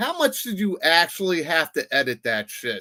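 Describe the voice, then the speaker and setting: A man's voice with a bright, sharp tone. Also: very clean recording, silent background. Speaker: podcast co-host. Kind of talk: casual chat. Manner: stutters.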